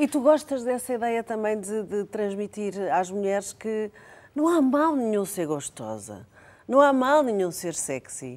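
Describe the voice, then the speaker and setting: The speaker has a European Portuguese accent and a fairly slow pace. The pitch swings very widely. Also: woman, fairly high pitch for a woman. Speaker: talk show host. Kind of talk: casual chat.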